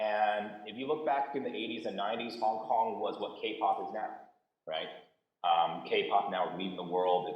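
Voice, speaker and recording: Audible room echo surrounds a man who speaks at a moderate pace with an American accent. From US West Coast (San Jose, Bay Area). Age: 40s. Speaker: panelist, entrepreneur. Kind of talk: panel discussion. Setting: video call. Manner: casual, animated.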